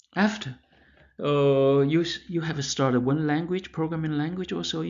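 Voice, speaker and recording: A man with a fairly high pitch and a Chinese accent, at a moderate pace with ordinary pitch variation. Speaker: math professor. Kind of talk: lecture. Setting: pre-recorded lecture. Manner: halting, with many fillers and restarts.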